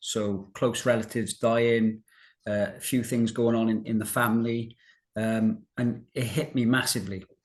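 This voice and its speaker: A man with a Welsh accent, medium pitch and a moderate pace, over a quiet background. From South Wales, Newport. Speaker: financial services director and recovered colitis patient. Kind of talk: interview about personal health recovery.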